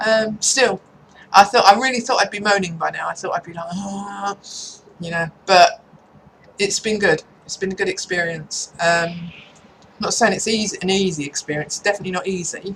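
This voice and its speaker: In an English accent, a woman of medium pitch speaks at a moderate pace with ordinary pitch variation and long, frequent pauses. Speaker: vlogger. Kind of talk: casual chat. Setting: at home in front of a computer.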